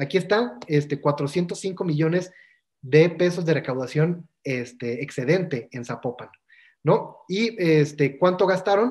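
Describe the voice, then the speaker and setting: With a Mexican accent, a man talks in a fairly high pitch with lively intonation. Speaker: workshop instructor. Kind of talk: lecture. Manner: fast.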